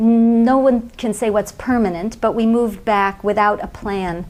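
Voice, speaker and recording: A woman with an American accent and a plain, everyday voice speaks at a moderate pace with fairly even intonation. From US West Coast, Pasadena, California. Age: 50s. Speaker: NGO founder and aid reform advocate. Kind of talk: TV interview.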